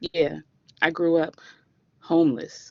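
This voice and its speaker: Speech in a Washington DC accent moves at a fairly slow pace. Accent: proud DC. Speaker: class presenter. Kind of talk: spoken-word personal story.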